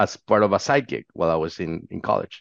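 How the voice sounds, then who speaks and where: A man speaks with a Spanish accent. The sound is dry and close, with no echo, over a quiet background. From Mexico. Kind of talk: interview. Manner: halting.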